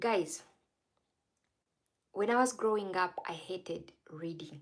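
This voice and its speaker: A woman speaks with a non-native accent at a moderate pace and medium pitch, with ordinary pitch variation. The recording is very clean, with a silent background. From Uganda. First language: not English. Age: 30s. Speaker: live streamer. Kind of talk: casual livestream talk. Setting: livestream.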